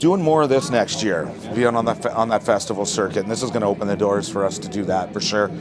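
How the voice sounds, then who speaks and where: Someone with a Canadian accent talks at a very fast pace over noticeable background noise. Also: man, fairly low pitch for a man, lively intonation. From Hamilton, Ontario, Canada. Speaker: singer-songwriter. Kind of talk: interview. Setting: festival tent. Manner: casual, relaxed.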